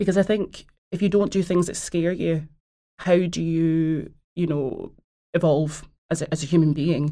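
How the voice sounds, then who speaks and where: A woman's fairly low voice with fairly even intonation, a moderate pace and long, frequent pauses. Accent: Glaswegian. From Scotland, Glasgow. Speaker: actor and producer. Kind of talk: casual interview.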